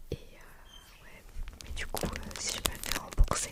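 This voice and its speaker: Whispering at a very slow pace, a woman speaks against noticeable background noise. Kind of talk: ASMR triggers video. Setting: outdoors, birds audible in background. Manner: whispered, soft-spoken.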